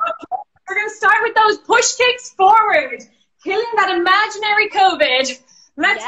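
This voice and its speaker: A woman talks at a moderate pace in an extremely high pitch. The background is quiet. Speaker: fitness instructor. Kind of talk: workout instruction. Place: home room. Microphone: phone near.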